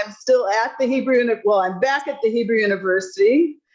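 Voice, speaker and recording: With a Chicago accent, a woman talks at a fairly high pitch with ordinary pitch variation. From Chicago, US Midwest. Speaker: retired alumni, university lecturer. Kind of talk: casual reunion chat. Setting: video call.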